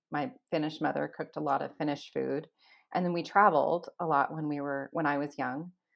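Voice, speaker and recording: A woman speaks in a West Coast US accent at a fairly quick pace. Her very deep, low voice keeps a fairly even intonation. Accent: General American, West Coast. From US West Coast, Los Angeles. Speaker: food blogger and former chef. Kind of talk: interview. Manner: calm.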